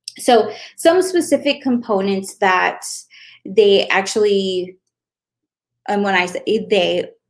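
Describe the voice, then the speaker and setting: A woman with a non-native accent and a medium pitch speaks at a very slow pace. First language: not English. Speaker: Facebook ad strategist. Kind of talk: tutorial. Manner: casual, conversational with fillers.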